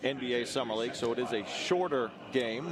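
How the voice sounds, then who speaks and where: Noticeable background noise sits behind the speaker. A man talks at a medium pitch. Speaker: basketball play-by-play announcer. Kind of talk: sports play-by-play broadcast.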